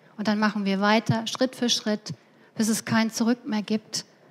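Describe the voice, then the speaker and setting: A somewhat breathy woman's voice, fairly high in pitch, with monotone, flat intonation. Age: 50s. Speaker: conference speaker, business economist; conference speaker. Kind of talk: lecture. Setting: stage with audience. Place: hall. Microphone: headset.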